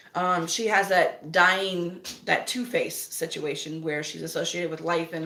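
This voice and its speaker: With an American accent, a woman talks at a moderate pace in a fairly low pitch, amid noticeable background noise and audible room echo. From US South. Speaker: witch vlogger. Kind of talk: casual chat. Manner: conversational, many fillers.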